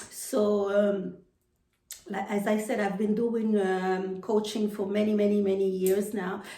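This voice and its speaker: A woman with a medium pitch speaks fairly slowly in a flat monotone, with audible room echo around her. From Haiti. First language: French or Haitian Creole. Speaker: personal development coach. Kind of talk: motivational talk to camera. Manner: halting, many fillers and repetitions.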